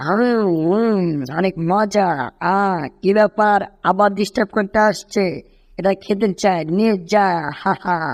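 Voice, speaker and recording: A female-sounding, put-on character voice at a middle pitch moves at a moderate pace in a very clean recording with a silent background. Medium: fan dub. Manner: panicky, whining.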